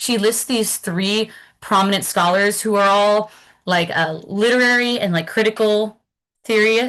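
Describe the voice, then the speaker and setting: Over a quiet background, a woman speaks at a moderate pace with a bright, sharp tone, medium pitch and ordinary pitch variation. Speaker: academic presenter. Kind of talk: lecture.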